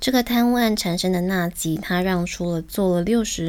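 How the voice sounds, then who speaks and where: An ordinary speaking voice at a moderate pace with fairly even intonation. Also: woman. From Taiwan. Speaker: podcast host. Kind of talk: scripted narration; interview.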